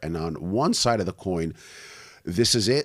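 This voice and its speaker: A man with a New York accent speaks in a very deep, low pitch. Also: very clean recording, silent background. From US Northeast (Brooklyn, New York). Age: 40s. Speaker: online business owner. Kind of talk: podcast interview. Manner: casual.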